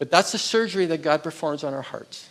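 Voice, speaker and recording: This man has an ordinary speaking voice, fairly high in pitch, with lively intonation. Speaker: pastor. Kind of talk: sermon.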